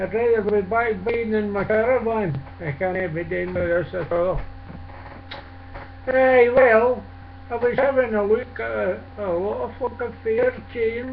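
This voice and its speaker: A man with a Scottish accent at a fairly slow pace, with noticeable background noise. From Scotland. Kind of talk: casual talk to camera.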